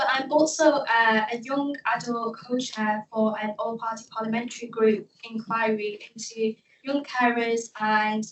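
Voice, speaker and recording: Somewhat breathy and fairly high in pitch, a woman speaks with a Manchester accent. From South Manchester, England. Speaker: youth panel member. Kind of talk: panel presentation. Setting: event with audience, microphone.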